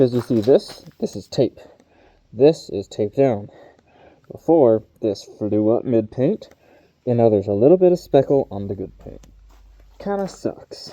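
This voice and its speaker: A man's medium-pitched, dark, mellow voice at a fairly slow pace, with long, frequent pauses, big swings in loudness and very wide pitch swings. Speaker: car DIY vlogger. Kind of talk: casual DIY vlog narration.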